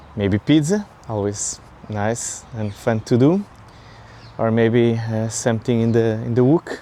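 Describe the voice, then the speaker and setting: Speaking with a Portuguese accent, a man uses a medium pitch and a fairly slow pace. His tone is dark and mellow, with fairly even intonation. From Portugal. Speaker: vlogger. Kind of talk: casual vlog monologue. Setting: outdoors, walking in a park. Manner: halting, many fillers.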